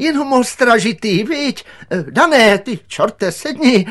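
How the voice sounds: A man puts on a character voice at an extremely high pitch. His intonation is lively. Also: fairly bright tone.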